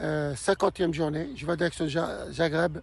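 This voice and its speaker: Speaking very slowly, the man keeps his intonation fairly level. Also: dry sound with no echo. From Morocco. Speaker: long-distance cyclist vlogger. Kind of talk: travel vlog update. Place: open country. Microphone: phone near.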